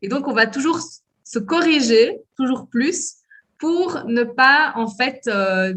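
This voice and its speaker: A woman talks very slowly in a high-pitched voice. Her intonation is lively. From Belgium, Liège. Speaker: French teacher and cultural liaison officer. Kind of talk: interview. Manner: hesitant, many fillers.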